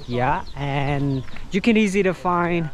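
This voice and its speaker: Audible room echo surrounds a man speaking at a very slow pace with a fairly high pitch. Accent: Vietnamese. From Vietnam. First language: Vietnamese. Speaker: tour guide and travel vlogger. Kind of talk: travel vlog narration. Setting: outdoors, hiking. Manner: hesitant, many fillers.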